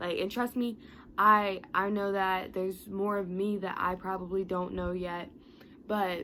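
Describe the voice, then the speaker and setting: A woman has a medium pitch and an unremarkable speaking voice. She keeps a moderate pace. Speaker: motivational youtuber. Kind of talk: motivational talk to camera. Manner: casual, with fillers and self-corrections.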